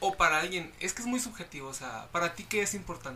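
A man with a Mexican accent talks at a fairly quick pace. Noticeable background noise can be heard. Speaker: friend of the host. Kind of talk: casual chat.

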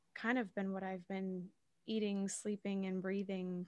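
Monotone and flat, the speech comes at a fairly slow pace in an American accent. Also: woman. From Massachusetts, south of Boston. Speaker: actor and podcast host. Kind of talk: casual interview chat.

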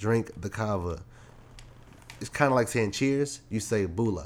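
A man with an American accent speaks in a normal speaking voice at a fairly low pitch. His pace is fairly slow, with ordinary pitch variation. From Maryland, Prince George's County (DC area). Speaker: photographer podcast co-host. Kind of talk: casual chat.

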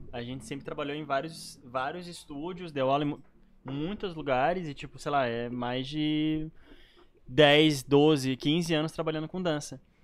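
Fairly slow, fairly even-toned speech from a man pitched fairly high. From Canoas, Porto Alegre area, southern Brazil. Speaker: professional dancer and dance teacher. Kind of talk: casual chat.

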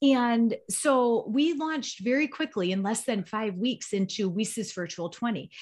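A woman with fairly high pitch speaks at a fairly slow pace with hardly any pauses and lively intonation, an ordinary speaking voice on a very clean recording with a silent background. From Chicago area. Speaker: nonprofit executive director. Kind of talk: podcast interview.

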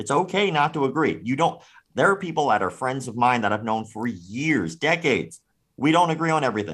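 With vocal fry and very wide pitch swings, a man speaks at medium pitch and a fairly quick pace on a very clean recording with a silent background. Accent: American. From US South, Florida. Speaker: martial arts critic and YouTuber. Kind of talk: casual chat.

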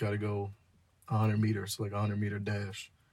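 Somewhat breathy, a man talks with an American accent. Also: very clean recording, silent background. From New Jersey. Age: 20s. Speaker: podcast co-host. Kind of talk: casual chat.

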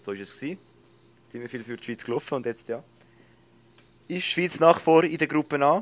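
A man speaks at a fairly high pitch with lively intonation. His loudness swings widely, and he takes long, frequent pauses. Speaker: podcast host. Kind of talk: casual chat.

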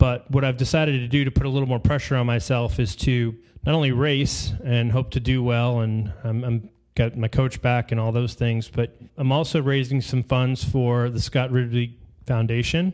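A man has a plain, everyday voice in a medium pitch. He keeps a moderate pace and fairly even intonation. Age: 40s. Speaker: endurance coach and podcast host. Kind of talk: casual interview chat.

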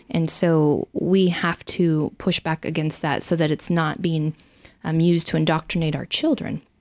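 Speaking in an American accent, a woman has a plain, everyday voice with a fairly low pitch, fairly even intonation and a moderate pace. Her loudness is very even, and it's a very clean recording with a silent background and a dry, close sound with no echo. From Idaho. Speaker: state legislator and former military pilot. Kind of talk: interview.

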